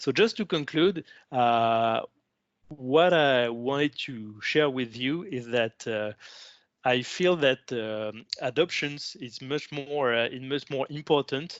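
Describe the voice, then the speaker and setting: The speaker talks at a very slow pace, with ordinary pitch variation. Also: man, medium pitch for a man. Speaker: customer success manager presenting at online conference. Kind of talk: conference presentation. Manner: halting, many fillers and repetitions.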